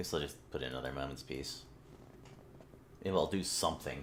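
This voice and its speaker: A man's very fast speech with vocal fry. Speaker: video game streamer. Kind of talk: gameplay commentary. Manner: casual, halting.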